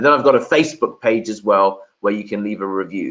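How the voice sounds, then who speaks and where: The speaker is a man with a London accent. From London, England. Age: 30s. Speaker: SEO agency founder, webinar speaker. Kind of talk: webinar presentation. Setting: video call from sister's conservatory. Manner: repetitive filler-heavy delivery.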